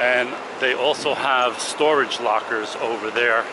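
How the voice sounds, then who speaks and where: Noticeable background noise and a dry sound with no echo. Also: man. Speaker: travel vlogger. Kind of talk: casual vlog walking tour commentary. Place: station. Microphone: phone near.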